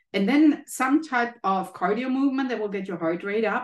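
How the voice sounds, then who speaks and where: Lively intonation marks this German-accented speech at a moderate pace. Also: woman. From Germany. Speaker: health economist and professor. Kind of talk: interview.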